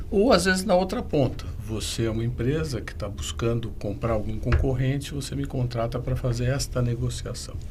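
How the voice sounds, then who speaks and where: A man at a moderate pace with hardly any pauses, amid noticeable background noise and audible room echo. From São Paulo state, Brazil. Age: 60s. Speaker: M&A advisor and business conflict mediator. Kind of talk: podcast interview.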